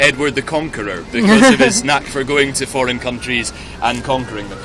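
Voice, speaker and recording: A man's fairly high voice with very wide pitch swings, a fairly quick pace, and noticeable background noise. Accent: Scottish. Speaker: walking tour guide. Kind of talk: guided tour talk. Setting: outdoors.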